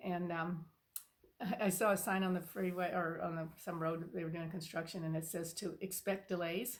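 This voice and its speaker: With monotone, flat intonation, a woman speaks at a fairly low pitch and a moderate pace. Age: 70s. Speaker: spiritual channel host. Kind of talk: casual personal talk to camera. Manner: halting, many fillers.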